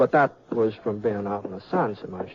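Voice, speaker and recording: Someone speaks at a moderate pace with an American accent. There is noticeable noise in the background. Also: man. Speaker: actor. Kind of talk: first-person story narration.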